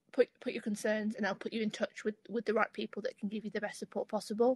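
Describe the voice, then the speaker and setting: With a dry sound, no echo, and a quiet background, a woman talks very fast at a fairly high pitch. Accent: East Midlands. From Lincolnshire, England. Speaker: student ambassador. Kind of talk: webinar panel discussion. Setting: video call. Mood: friendly, encouraging. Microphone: video call.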